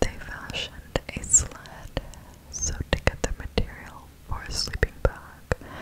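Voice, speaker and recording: The voice is soft-spoken and whispering. The pace is very slow. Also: woman. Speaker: ASMR creator. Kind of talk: soft-spoken storytelling narration. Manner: soft close-mic ASMR whisper. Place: home room. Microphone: studio mic.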